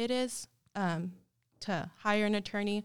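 A woman at a medium pitch with ordinary pitch variation, on a very clean recording with a silent background. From Texas, El Paso. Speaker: law firm office manager and paralegal. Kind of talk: casual interview. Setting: office, recorded on video. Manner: hesitant, many fillers.

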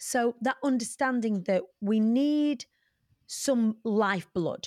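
A woman with ordinary pitch variation on a very clean recording, silent background, and a dry, close sound with no echo. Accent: British. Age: 40s. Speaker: motivational speaker and entertainer. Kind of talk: interview conversation.

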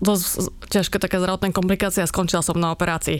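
A woman's very fast, monotone speech with flat intonation. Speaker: humanitarian worker, NGO director. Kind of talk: interview.

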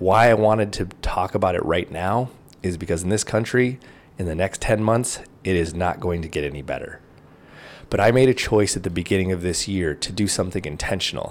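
A man speaks with a very deep, low pitch. His pace is fairly quick, and his pitch varies in an ordinary way. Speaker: podcast host. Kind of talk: solo motivational monologue. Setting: home video recording. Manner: informal, conversational.

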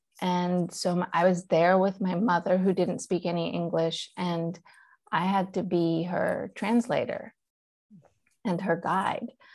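Very slow speech from a woman with a Persian accent, medium in pitch and fairly even in intonation, over a quiet background. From Iran, then US South (Charlotte, North Carolina). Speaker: actor, director, writer, podcast creator. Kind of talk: interview storytelling. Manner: conversational, narrative.

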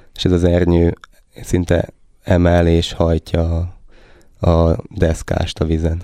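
Delivered at a very slow pace with long, frequent pauses, the voice has a dark, mellow tone. Its intonation is monotone and flat, and its loudness stays very even. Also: man, very deep, low pitch for a man. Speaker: competitive sailor. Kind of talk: interview. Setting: studio.

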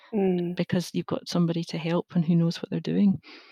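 A woman speaks in a Glaswegian accent. Her tone is dark and mellow, her pitch fairly low. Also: dry, close sound with no echo. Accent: Glaswegian Scottish. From Scotland, Glasgow. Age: 40s. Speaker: safety engineer. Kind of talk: interview. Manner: hesitant, many fillers.

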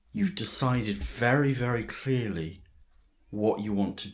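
A man's voice with vocal fry. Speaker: podcast host and writing teacher. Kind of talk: interview.

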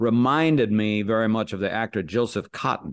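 In an American accent, a man with a plain, everyday voice and fairly low pitch talks at a moderate pace with ordinary pitch variation against a quiet background. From US, Los Angeles area. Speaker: actor and impressionist. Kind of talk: interview chat.

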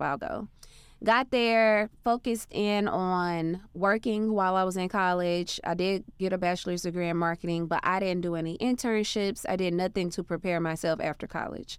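A woman with an ordinary speaking voice talks in an American accent at medium pitch with ordinary pitch variation. Her pace is moderate with hardly any pauses, on a very clean recording with a silent background. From Arkansas, US South. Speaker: entrepreneur. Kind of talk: interview.

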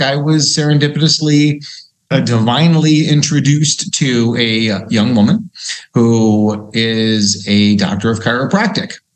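Amid audible room echo, a man with a medium pitch and lively intonation talks at a fairly slow pace. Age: 50s. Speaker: cardiologist. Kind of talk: interview.

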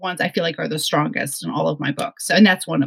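A woman talks at a very fast pace with an American accent. Vocal fry runs through her voice. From northwest New Jersey. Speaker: novelist. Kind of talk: casual interview chat.

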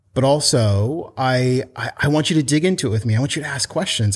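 With an American accent and a medium pitch, a man speaks in a somewhat breathy voice on a very clean recording with a silent background. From US Pacific Northwest, Portland. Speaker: children's book author and company founder. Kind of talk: casual interview chat.

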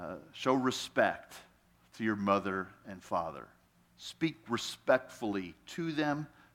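Very slow in pace, a man with a fairly low pitch makes very wide pitch swings and big swings in loudness. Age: 60s. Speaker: guest pastor. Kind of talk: sermon. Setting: church.

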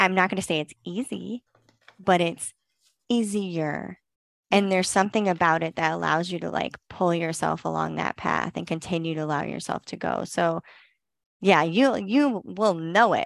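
An unremarkable speaking voice, a woman's is fairly low with ordinary pitch variation and a moderate pace, recorded very cleanly with a silent background and a dry, close sound with no echo. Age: 30s. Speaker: esthetician and business owner. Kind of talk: interview.

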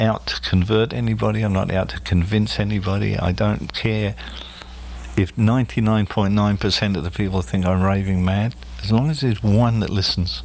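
With an Australian accent, a man with a fairly low pitch speaks at a moderate pace and lively intonation over noticeable background noise. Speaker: spiritual medium. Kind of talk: casual interview. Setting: studio.

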